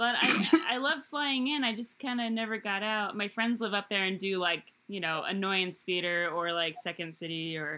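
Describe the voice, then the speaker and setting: Medium pitch, lively intonation and a moderate tempo in a woman's plain, everyday voice. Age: 30s. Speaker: podcast host. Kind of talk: casual chat.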